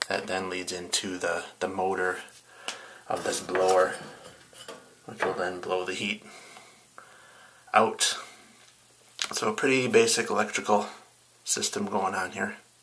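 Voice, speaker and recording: With a very deep, low pitch, a man talks at a fairly slow pace in fairly even intonation, broken by long, frequent pauses. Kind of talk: tutorial. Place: home room. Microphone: phone near.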